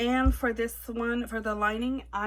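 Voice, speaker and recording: A woman is speaking. She has a Quebec accent. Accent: French Canadian accent in English. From Quebec / French Canada. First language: French. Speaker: sewing tutorial creator. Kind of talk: tutorial. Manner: halting, with hesitations.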